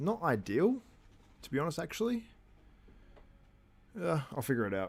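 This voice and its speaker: Music plays in the background as a man talks at a moderate pace in a strong Australian accent. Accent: broad Australian. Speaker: bodybuilding commentator. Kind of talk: live stream watchalong commentary. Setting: live stream.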